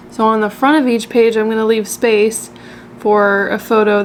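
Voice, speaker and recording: Noticeable background noise runs under the recording. A woman speaks at a moderate pace with monotone, flat intonation. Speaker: travel vlogger. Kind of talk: casual vlog talk.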